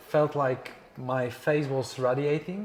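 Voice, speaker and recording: Noticeable background noise surrounds a man speaking at a medium pitch with fairly even intonation. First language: not English. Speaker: podcast host. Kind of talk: interview conversation. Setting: resort lobby and walking outdoors. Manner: halting with fillers.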